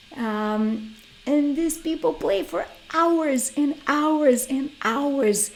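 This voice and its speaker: A woman speaks with a Brazilian Portuguese accent and lively intonation. Music plays in the background, and the room echo is audible. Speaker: guitarist and workshop teacher. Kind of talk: online workshop lecture.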